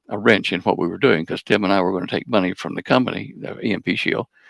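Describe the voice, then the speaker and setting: With a very deep, low pitch and vocal fry, a man speaks very fast and with lively intonation, the sound dry and close with no echo. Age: 80s+. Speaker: physics researcher and inventor. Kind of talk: interview. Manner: halting.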